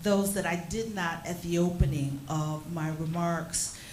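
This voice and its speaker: A woman with an American accent, fairly low pitch and ordinary pitch variation, with noticeable background noise and audible room echo. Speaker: session chair. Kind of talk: formal moderation. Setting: hotel seminar with audience. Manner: formal.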